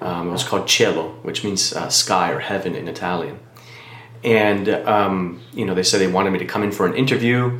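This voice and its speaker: With an American accent, a man speaks at a fairly quick pace in a fairly low voice with ordinary pitch variation. Noticeable background noise and audible room echo surround him. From Miami, Florida. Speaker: pastor. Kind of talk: testimony.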